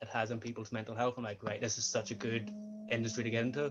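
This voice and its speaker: A man speaks very fast with a Northern Irish accent. His pitch sits in the medium range. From Northern Ireland. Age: 20s. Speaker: sports coach and student. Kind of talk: interview.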